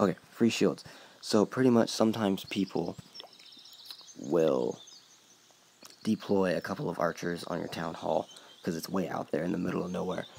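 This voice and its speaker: A man with a very deep, low pitch speaks at a moderate pace with ordinary pitch variation and long, frequent pauses, over noticeable background noise. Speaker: gaming YouTuber. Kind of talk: gameplay tutorial. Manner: hesitant, filler-heavy.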